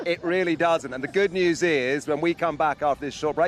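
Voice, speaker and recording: Music playing behind a man's high voice. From England. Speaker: motorsport event presenter. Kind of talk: live broadcast interview.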